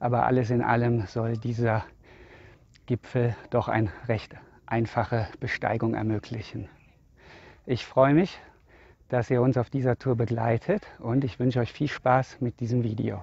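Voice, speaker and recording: A man at a fairly slow pace, fairly even intonation, long, frequent pauses, and a dry sound with no echo. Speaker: hiking vlogger. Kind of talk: casual vlog chat. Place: open country. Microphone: phone near.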